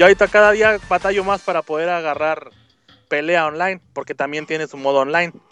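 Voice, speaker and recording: A man with a high pitch and a bright, sharp tone speaks at a very fast pace with fairly even intonation and big swings in loudness, the sound dry and close with no echo. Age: 30s. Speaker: correspondent in Japan. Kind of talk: casual chat.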